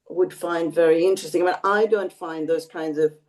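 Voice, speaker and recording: A woman's very deep, low-pitched voice. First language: Bengali. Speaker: emeritus professor. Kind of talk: interview. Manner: hesitant with fillers.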